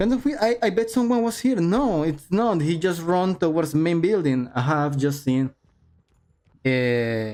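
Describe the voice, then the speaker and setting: A man speaks with a high pitch and a non-native accent. His loudness stays very even while his pitch swings very widely. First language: not English. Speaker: esports caster. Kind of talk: live commentary. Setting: livestream. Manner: animated; halting.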